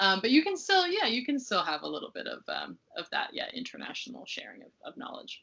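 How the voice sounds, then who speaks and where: With an American accent, a woman talks at a very fast pace with hardly any pauses and big swings in loudness. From United States. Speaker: research fellow. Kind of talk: interview. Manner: halting, many fillers.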